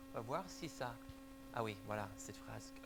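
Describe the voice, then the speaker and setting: A man talks at a moderate pace. He has an American accent. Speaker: church elder and parenting speaker. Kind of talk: church conference talk. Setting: church hall with audience.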